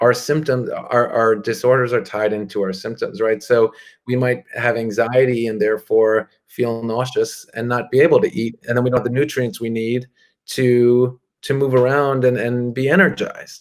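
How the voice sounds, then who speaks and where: Medium in pitch, a man talks with fairly even intonation. His pace is moderate. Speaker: psychotherapist. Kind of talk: interview answer.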